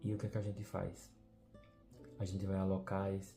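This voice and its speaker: Music plays in the background as a man with a fairly low voice speaks at a fairly slow pace with fairly even intonation. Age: 20s. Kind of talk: personal video diary reflection.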